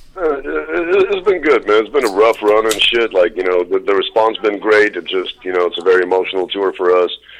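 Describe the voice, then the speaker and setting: A man speaks at a fairly quick pace with hardly any pauses over noticeable background noise. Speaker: horrorcore rapper. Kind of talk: interview. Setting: phone call.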